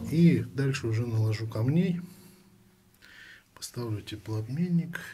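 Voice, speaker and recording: A man talks at a fairly slow pace with lively intonation. Music plays in the background. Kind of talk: casual tutorial narration. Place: home room. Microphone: phone near.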